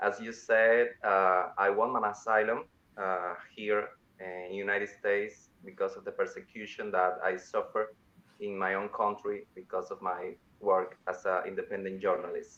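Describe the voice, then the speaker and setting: At a moderate pace, a man talks with a Cuban accent. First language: Spanish. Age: 20s. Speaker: journalist. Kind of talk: interview. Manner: halting, many fillers.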